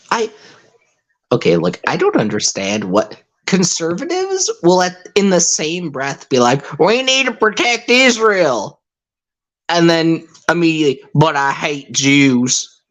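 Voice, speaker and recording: The words come at a fairly slow pace. The accent is American. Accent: rural accent, naturally. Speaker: podcast host. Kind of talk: casual chat. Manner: animated.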